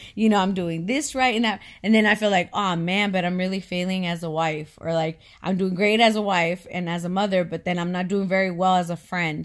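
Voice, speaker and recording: With an American accent, a woman speaks in a plain, everyday voice at medium pitch on a very clean recording with a silent background. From California. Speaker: podcast co-host. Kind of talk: casual chat.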